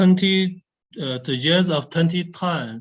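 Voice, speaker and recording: A man talks with a Chinese accent. His intonation is lively. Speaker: nuclear research scientist. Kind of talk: Q&A answer at webinar. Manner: halting, many hesitations.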